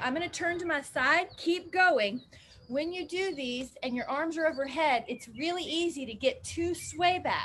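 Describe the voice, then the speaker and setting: At a moderate pace, a woman talks with lively intonation and an extremely high pitch over light background noise. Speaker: fitness instructor. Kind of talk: exercise class instruction. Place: garden. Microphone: camera far.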